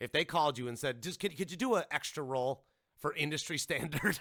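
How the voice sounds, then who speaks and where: A man talks at a fairly quick pace, using vocal fry. His pitch swings very widely. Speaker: podcast host. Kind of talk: casual chat. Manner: animated.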